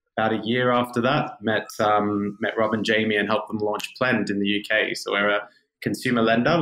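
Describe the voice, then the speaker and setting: Talking fairly quickly, a man speaks in an Australian accent. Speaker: fintech growth executive. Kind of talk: podcast interview.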